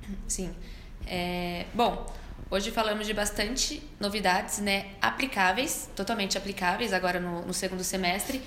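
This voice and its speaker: Medium pitch from a woman at a moderate pace, with ordinary pitch variation, audible room echo and noticeable background noise. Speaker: podcast co-host. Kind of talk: casual chat.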